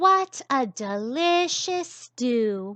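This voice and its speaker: A woman puts on a character voice, her pitch high and swinging very widely. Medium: read story. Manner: warm, gracious.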